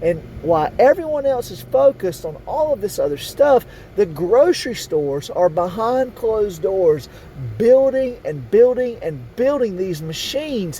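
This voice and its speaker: Amid noticeable background noise, a man talks at a fairly slow pace in a high pitch that swings very widely. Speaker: conspiracy video host. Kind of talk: monologue to camera.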